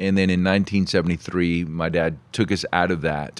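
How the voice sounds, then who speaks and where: The man's voice is very deep and low. He talks at a fairly quick pace against a quiet background. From Puerto Rico. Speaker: pastor. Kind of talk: interview testimony.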